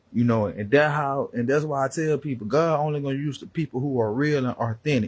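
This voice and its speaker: With an American accent, a man talks at a fairly quick pace in a fairly high pitch, sounding somewhat breathy, with lively intonation. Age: 30s. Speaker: preacher. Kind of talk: sermon. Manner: animated; repetitive.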